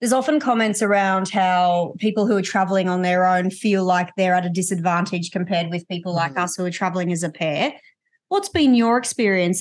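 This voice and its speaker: The woman speaks with an Australian accent at a medium pitch and a fairly quick pace. Her pitch varies in an ordinary way, over a quiet background. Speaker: podcast host. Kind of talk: interview.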